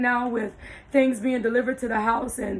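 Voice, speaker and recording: A woman speaks in a high-pitched voice. Her intonation is flat and monotone. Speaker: blind lifestyle vlogger. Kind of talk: tutorial. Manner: hesitant, many fillers.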